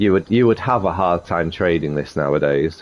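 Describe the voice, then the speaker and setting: A man with a slight Sheffield accent speaks in a very deep, low voice. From northern England, Sheffield. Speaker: gaming video creator. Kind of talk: tutorial. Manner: casual, hesitant with fillers.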